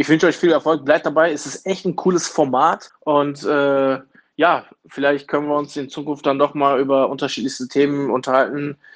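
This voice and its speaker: Against a quiet background, a man with a fairly high pitch speaks in a monotone, flat way. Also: moderate pace. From Germany, Duisburg area (Ruhr). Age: 30s. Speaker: trade union official. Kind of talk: interview.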